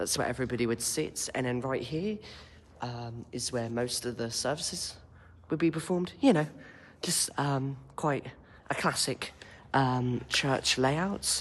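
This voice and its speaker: A quiet man at a fairly slow pace, with long, frequent pauses and ordinary pitch variation. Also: medium pitch for a man. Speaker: intern giving a guided tour. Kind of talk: casual guided walking tour vlog. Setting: inside an echoey church. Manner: quiet, hushed; hesitant, many ums. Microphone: echo in the room.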